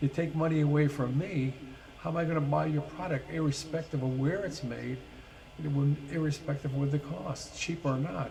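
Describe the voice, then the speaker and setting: A man's voice sits fairly high and moves at a moderate tempo. Noticeable background noise is present, and his intonation stays fairly even. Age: 70s. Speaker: vlogger. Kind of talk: opinion monologue. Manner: hesitant fillers.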